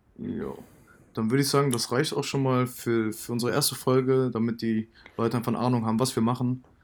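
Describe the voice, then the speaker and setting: This man speaks at a very fast pace with medium pitch and fairly even intonation. The recording is very clean, with a silent background. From Germany, Cologne. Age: 20s. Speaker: podcast co-host, student startup founder. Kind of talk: casual chat.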